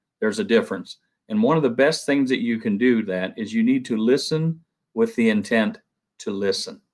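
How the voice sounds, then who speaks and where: A medium-pitched man with a Southern US accent, moderate pace and ordinary pitch variation. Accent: Southern twang. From Ohio. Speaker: construction product rep. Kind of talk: conference panel talk.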